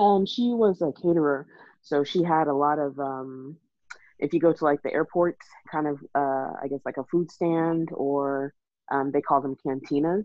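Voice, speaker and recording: A woman speaks in a Texan accent, her pitch very deep and low. She moves at a moderate pace with ordinary pitch variation. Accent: Texan American English. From Texas. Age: 30s. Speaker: IT worker and mother. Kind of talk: casual interview.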